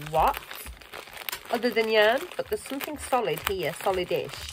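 Over noticeable background noise, a woman's voice makes very wide pitch swings. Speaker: crochet vlogger. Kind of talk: casual vlog chat. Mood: cheerful, chuckling. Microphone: phone near.

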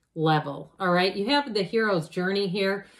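A woman speaks at a moderate pace with ordinary pitch variation over a quiet background. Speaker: tarot reader. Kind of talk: tarot reading commentary. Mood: warm, reassuring. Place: home room. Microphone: phone near.

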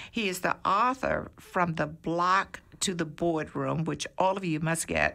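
A woman's fairly low-pitched voice has a bright, sharp tone and vocal fry, moving at a fairly slow pace with ordinary pitch variation. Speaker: radio host and dispensary owner. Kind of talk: radio interview. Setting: studio. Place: studio. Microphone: studio mic.

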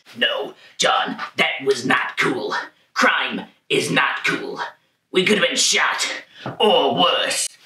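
A man uses a put-on character voice at a very slow pace. Long pauses come often. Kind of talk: comic overacting. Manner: anxious, pleading, prim.

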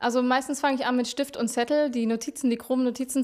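A woman's voice with fairly even intonation against a quiet background. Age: 20s. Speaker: singer-songwriter; interviewee. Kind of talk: interview. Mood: calm, somewhat shy. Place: home room. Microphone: handheld.

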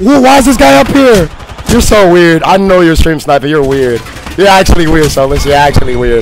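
Over noticeable background noise, a man speaks with very wide pitch swings and very even loudness. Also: fairly high pitch for a man, fairly quick pace. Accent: American. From Florida. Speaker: gaming streamer. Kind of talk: live gameplay commentary. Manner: fast, animated.

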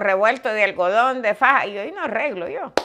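A woman speaks at a moderate pace with lively intonation. There is noticeable background noise. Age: 70s. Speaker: vlogger. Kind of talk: casual interview conversation. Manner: humorous, frank, uses profanity. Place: home room. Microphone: lapel.

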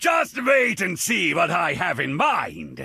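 A man puts on a character voice, pitched high and speaking at a fairly slow pace. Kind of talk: imitation of game voice lines. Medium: game stream. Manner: gruff.

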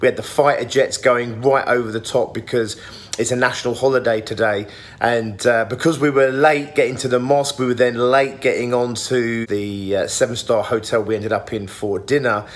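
Fairly quick speech with fairly even intonation, music in the background. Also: man. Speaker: vlogger. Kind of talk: casual vlog chat. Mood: cheerful, amused. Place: home room. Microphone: phone near.

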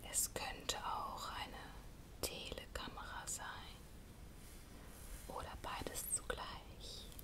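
A woman at a very slow pace, with long, frequent pauses and loud background noise. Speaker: ASMR creator. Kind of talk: whispered bedtime story reading. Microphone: studio mic.

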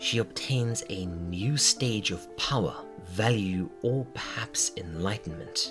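With music in the background, a man talks at a fairly slow pace and fairly low pitch, making very wide pitch swings. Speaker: video essayist. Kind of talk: casual analytical video narration.

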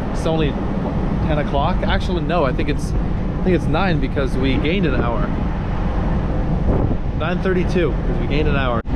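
Long, frequent pauses break up a man's moderate-paced speech, with loud background noise all around. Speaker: travel vlogger. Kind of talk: casual vlog chat. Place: boat. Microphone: phone near.

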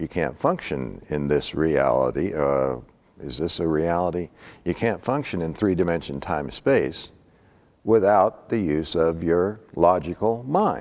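A man speaks at a fairly slow pace. His pitch is very deep and low. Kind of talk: lecture. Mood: calm, reflective. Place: hall. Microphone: lapel.

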